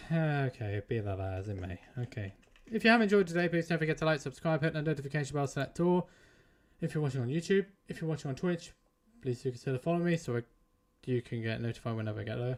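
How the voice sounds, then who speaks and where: Speaking very fast, a man with a British accent uses a fairly high voice. His pitch swings very widely. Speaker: gaming streamer. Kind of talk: live stream sign-off.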